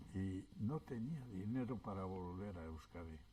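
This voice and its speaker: A man with a Basque accent, very deep and low in pitch, somewhat breathy, very slow, with lively intonation. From Basque Country, childhood exile in France. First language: Basque (speaking Spanish). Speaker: exile witness. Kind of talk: oral history interview. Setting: public event panel. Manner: hesitant.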